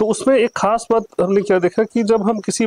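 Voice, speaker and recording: A man's voice in a dry, close sound with no echo. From Bihar, Banka. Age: 40s. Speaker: election candidate. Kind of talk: interview. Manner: halting.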